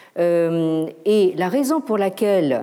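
Her pitch sits in the medium range for a woman. She speaks with very wide pitch swings. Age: old. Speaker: professor. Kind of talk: lecture. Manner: hesitant, many fillers and repetitions.

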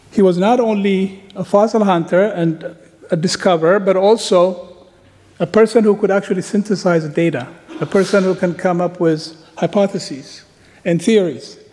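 A man speaks at a moderate pace in a high pitch, with fairly even intonation and noticeable background noise. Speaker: paleoanthropologist. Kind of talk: conference lecture. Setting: conference stage with audience.

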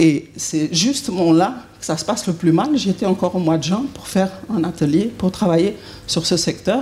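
Over noticeable background noise, a woman with a Swiss accent speaks at a moderate pace and medium pitch, her intonation lively. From Switzerland. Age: 50s. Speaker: consultant and author. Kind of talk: conference talk. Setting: conference hall with audience.

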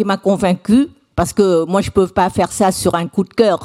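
The speaking voice is a woman's, dark and mellow in tone. No echo is heard, and the sound is dry and close. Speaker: conference moderator. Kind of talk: conference moderation. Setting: lecture hall with audience. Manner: halting, many hesitations.

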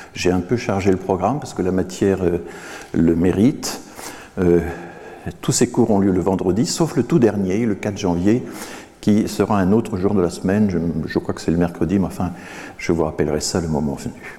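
A man with a very deep, low voice speaks with long, frequent pauses. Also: ordinary pitch variation, moderate pace. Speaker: professor. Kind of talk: lecture. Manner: halting.

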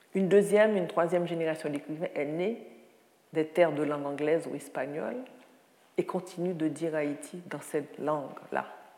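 A woman speaks at a moderate pace in a very deep, low pitch with a dark, mellow tone and ordinary pitch variation, with audible room echo. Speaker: writer and lecturer. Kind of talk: lecture.

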